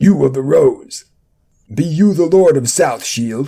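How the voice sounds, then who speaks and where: A man's put-on, gruff, bellowing character voice, fairly high in pitch, with lively intonation and a fairly slow pace. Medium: read story.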